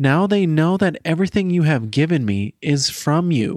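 With an unremarkable speaking voice, a man uses lively intonation in a dry, close recording with no echo and a very clean, silent background. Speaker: podcast host. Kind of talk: podcast intro and conversation.

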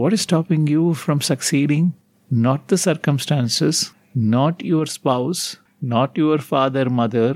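A man in an Indian accent, fairly high pitch, ordinary pitch variation and fairly slow pace, on a very clean recording with a silent background. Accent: Indian English (Tamil). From Tamil Nadu, India. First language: Tamil. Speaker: meditation teacher / spiritual guru. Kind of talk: guided talk / evening meditation session.

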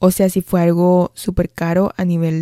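This woman's voice sits fairly low, with a dark, mellow tone. She talks at a fairly slow pace, and the sound is dry and close with no echo. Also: very clean recording, silent background. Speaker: nutrition podcast host. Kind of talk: solo reflective monologue. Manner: occasional stammering.

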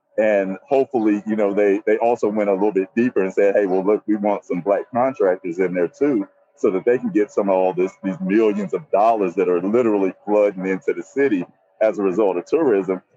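A man with an American accent and an ordinary speaking voice, fairly low in pitch, with ordinary pitch variation, at a fairly quick pace. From US South, Nashville, Tennessee. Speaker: actor and voiceover actor, veteran. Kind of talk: live on-location report. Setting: outdoors on a city street. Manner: casual, filler-heavy.

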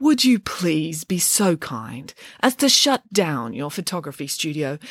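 Using a put-on character voice, a woman speaks low with a slightly husky edge and big pitch swings. The pace is fairly slow, and the sound is dry and close with no echo. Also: very clean recording, silent background.

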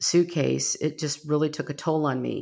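With an American accent, a woman speaks at a moderate pace in a very deep, low voice, recorded very cleanly against a silent background. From US Midwest, Rockford, Illinois. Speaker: podcast host. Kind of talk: podcast trailer monologue, partly scripted.

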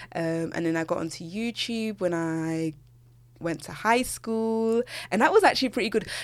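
The speaker has a British accent and an animated tone, with lively intonation at a moderate pace. Loudness swings a lot. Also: woman, medium pitch for a woman. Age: 20s. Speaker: podcast host and university student. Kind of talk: casual solo chat.

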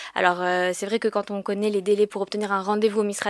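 Pitched medium, a woman speaks with monotone, flat intonation. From France, Paris. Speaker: government agency regional manager. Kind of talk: informational interview.

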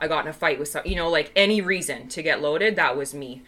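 A woman is speaking. Her tone is bright and sharp. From Vancouver, Canada. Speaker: recovering alcoholic, AA member. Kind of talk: personal testimony in casual chat.

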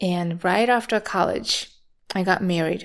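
In a Japanese accent, a woman speaks at a very slow pace on a very clean recording with a silent background. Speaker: meditation teacher. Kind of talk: personal monologue.

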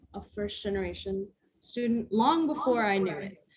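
With an American accent, the voice is somewhat breathy and shows ordinary pitch variation. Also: woman. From Las Vegas, US. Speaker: college student. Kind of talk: casual chat.

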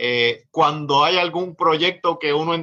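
A man with a normal speaking voice has a fairly high pitch and ordinary pitch variation. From Puerto Rico. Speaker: lawyer and party official. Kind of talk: political discussion.

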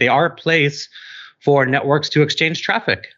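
A man speaks in a normal speaking voice at a fairly high pitch. His pace is fairly quick, and the background is quiet. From New York City. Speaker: network infrastructure product director. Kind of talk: interview.

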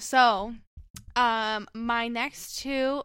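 Her intonation fairly even, a woman speaks with an American accent. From Michigan, US (Detroit suburbs). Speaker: graphic designer. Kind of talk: casual chat.

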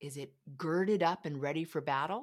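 Speaking at a moderate pace, a woman has a fairly low pitch. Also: very clean recording, silent background. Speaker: parenting coach. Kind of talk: interview.

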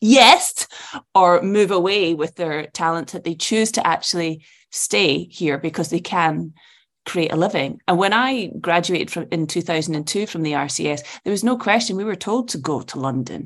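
A woman in a Scottish accent speaks at a moderate pace with lively intonation and a fairly low pitch, against a quiet background. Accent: Scottish, Edinburgh. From Edinburgh, Scotland. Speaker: actress. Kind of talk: casual interview chat.

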